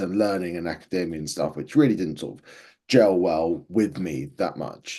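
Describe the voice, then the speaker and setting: A man speaks in an Essex accent with a dark, mellow tone. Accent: southern English (Essex). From Essex, England. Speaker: filmmaker. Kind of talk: interview.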